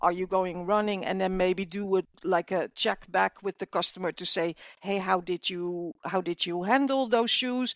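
A woman with a Dutch accent speaks with ordinary pitch variation in a dry, close sound with no echo. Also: medium pitch for a woman, moderate pace. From Netherlands. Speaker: customer service manager. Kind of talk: interview. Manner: hesitant, many fillers.

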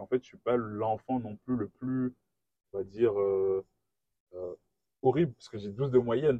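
Dry and close with no echo, a man's dark, mellow voice at medium pitch moves at a fairly quick pace. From Guadeloupe. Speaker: engineer. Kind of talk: interview. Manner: hesitant.

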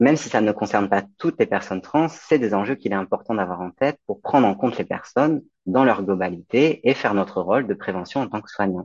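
With a plain, everyday voice, a man talks at a fairly quick pace with hardly any pauses, fairly low pitch and lively intonation. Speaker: midwife. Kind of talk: interview.

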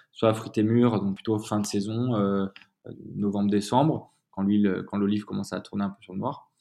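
At a moderate pace, a man speaks in a dark, mellow tone with fairly low pitch and fairly even intonation. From Provence, near Avignon (Gard). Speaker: olive oil brand founder. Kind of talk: casual interview. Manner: halting, frequent repetitions and fillers.

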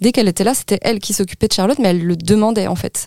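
A woman speaks at a medium pitch with a dark, mellow tone. The sound is dry and close, with no echo. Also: very clean recording, silent background. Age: 40s. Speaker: parent of premature child, association volunteer. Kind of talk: testimony. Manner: halting.

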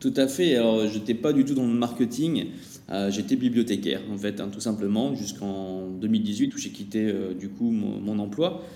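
A man speaks at a fairly slow pace with a fairly low pitch and ordinary pitch variation, with audible room echo and noticeable background noise. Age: 40s. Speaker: e-commerce agency CEO. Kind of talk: casual interview chat.

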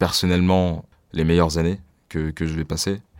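The speech moves at a moderate pace in a flat monotone. The recording is very clean, with a silent background. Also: man. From France, Paris suburbs (Bagneux). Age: 20s. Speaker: youth activist. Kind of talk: personal testimony interview. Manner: hesitant, many fillers.

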